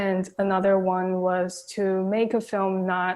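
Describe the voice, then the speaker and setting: A very slow, monotone woman's voice with flat intonation and a Chinese accent, in a very clean recording with a silent background. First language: Mandarin Chinese. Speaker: film director. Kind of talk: Q&A interview.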